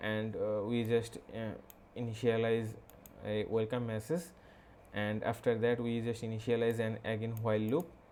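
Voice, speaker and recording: At a moderate pace, a man with a Bengali accent speaks at a medium pitch in monotone, flat intonation. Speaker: programming tutorial creator. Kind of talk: tutorial. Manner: halting, many fillers.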